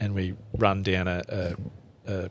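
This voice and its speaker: A man with a strong Australian accent speaks in a very deep, low voice with flat, monotone intonation, on a very clean recording with a silent background. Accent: broad Australian. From central Queensland, Australia. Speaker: bushman and survivalist. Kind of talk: casual chat. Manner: halting.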